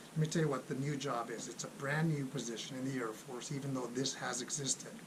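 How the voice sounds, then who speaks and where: Medium-pitched male speech at a fairly quick pace, fairly even in intonation, with noticeable background noise and audible room echo. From Los Angeles, California. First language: Spanish. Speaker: Air Force civilian employee, military finance YouTuber. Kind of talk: casual vlog announcement.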